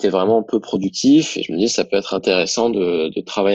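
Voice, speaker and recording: A man's normal speaking voice at a fairly quick pace, with ordinary pitch variation and a dry, close sound with no echo against a quiet background. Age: 20s. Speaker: young entrepreneur, digital marketing. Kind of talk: casual interview, testimony.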